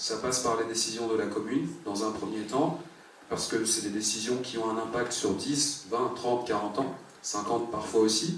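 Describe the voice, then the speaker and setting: A man's medium-pitched voice moves at a moderate speed with ordinary rises and falls, while noticeable background noise and audible room echo fill the recording. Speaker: municipal election candidate. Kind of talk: public speech. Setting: public meeting with audience. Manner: hesitant, many fillers.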